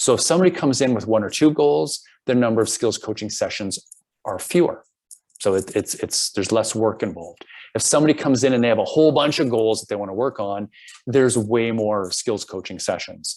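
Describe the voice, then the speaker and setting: With an ordinary speaking voice, a man talks at a fairly quick pace in a medium pitch, his intonation lively. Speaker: program director presenting a coaching program. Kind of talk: presentation.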